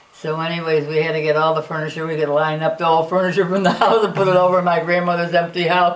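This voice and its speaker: Amid noticeable background noise and audible room echo, a woman with a fairly low pitch rushes along at a very fast pace with hardly any pauses, in monotone, flat intonation. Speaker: elderly relative sharing family history. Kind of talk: family reminiscence, oral history interview. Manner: halting, many fillers and restarts.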